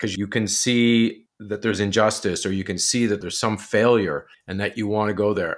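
A plain, everyday voice with a Canadian accent shows ordinary pitch variation. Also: man, very clean recording, silent background. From Ontario, Canada (near Kingston). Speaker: documentary filmmaker. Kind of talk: interview conversation.

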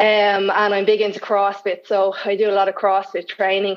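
A woman with a Dublin accent. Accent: Dublin Irish. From Ireland, Dublin. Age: 30s. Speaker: guest in recovery. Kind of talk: casual interview chat. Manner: halting.

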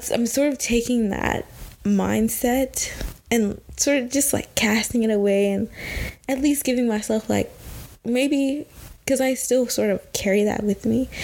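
Her loudness very even, a woman speaks at a fairly slow pace. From Texas. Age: 20s. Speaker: podcaster, recent college graduate. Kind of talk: personal monologue podcast. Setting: recording alone at home at night.

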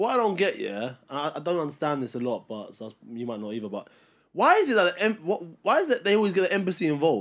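In a very clean recording with a silent background, a high-pitched man with a Cockney accent talks at a very fast pace, with very wide pitch swings and big swings in loudness. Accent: London English (Cockney). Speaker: podcast co-host. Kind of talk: heated debate.

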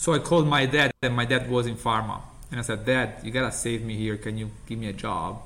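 A man talks at a fairly quick pace with an Italian accent. His intonation stays fairly even. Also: medium pitch for a man. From Italy.

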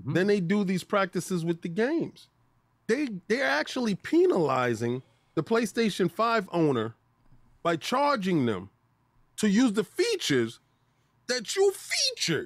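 A man's high voice, fairly slow and animated, with very wide pitch swings and long, frequent pauses. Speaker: gaming podcast co-host. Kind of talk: casual chat.

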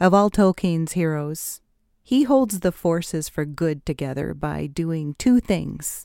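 Against a silent background in a very clean recording, a woman speaks very slowly with a fairly low pitch. Her tone is gentle, warm, dark and mellow. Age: 60s. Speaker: podcast host and writer. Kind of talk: scripted narration. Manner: gentle, warm storytelling.

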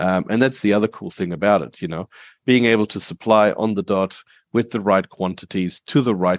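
A man with an Australian accent speaks at a fairly low pitch with ordinary pitch variation. The sound is dry and close with no echo, over a quiet background. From Germany, moved to Australia at age eight. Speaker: vertical farming company co-founder. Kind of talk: interview. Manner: frequent fillers um, uh, you know.

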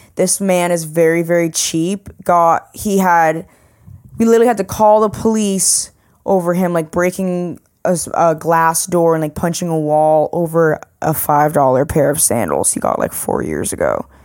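A woman speaks in a plain, everyday voice, fairly low in pitch with ordinary pitch variation. Her pace is moderate, and the recording is very clean with a silent background. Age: 20s. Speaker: podcast guest. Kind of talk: casual chat.

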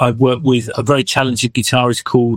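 Recorded with a dry, close sound and no echo, a man with an English accent talks at a moderate pace. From England. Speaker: musician and songwriter. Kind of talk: interview.

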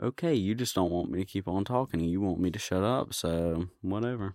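Recorded very cleanly against a silent background with a dry, close sound and no echo, a man talks in a normal speaking voice at fairly low pitch. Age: 30s. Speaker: podcast co-host. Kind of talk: casual chat reading out odd news stories.

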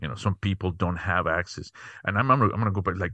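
A man's very deep, low voice with a Spanish accent and ordinary pitch variation, dry and close with no echo over a quiet background. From Mexico City, Mexico. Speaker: tech company founder and CEO. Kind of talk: interview. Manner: halting, many fillers.

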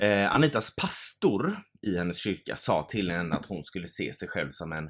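A man speaks in a plain, everyday voice at a fairly low pitch, with lively intonation. The recording is very clean with a silent background. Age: 30s. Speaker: podcast co-host. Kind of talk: casual chat. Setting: home studio.

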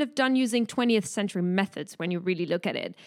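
A woman speaks in a French accent, her pitch swinging very widely. The recording is very clean, with a silent background. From France. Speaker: startup founder. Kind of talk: casual chat.

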